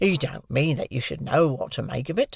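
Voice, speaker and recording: Fairly brisk, raspy delivery in an assumed character voice. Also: man. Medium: read story. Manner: brisk, dry, matter-of-fact.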